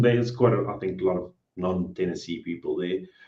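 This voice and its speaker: This man speaks very fast in a dark, mellow tone that is somewhat breathy. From South Africa. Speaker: cleaning business owner. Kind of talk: interview.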